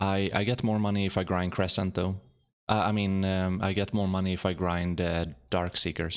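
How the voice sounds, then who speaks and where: A man's very deep, low voice with a slight Swedish accent, monotone and flat, at a moderate pace and very even loudness, on a very clean recording with a silent background. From Sweden. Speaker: video game streamer. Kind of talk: gameplay commentary. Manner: halting, many repetitions; calm, sleep-inducing.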